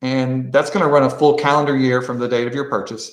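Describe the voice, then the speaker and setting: Against a quiet background with audible room echo, a man of medium pitch speaks at a fairly quick pace with fairly even intonation. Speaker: quiz bowl coach and trainer; presenter training coaches. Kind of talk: tutorial. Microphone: video call.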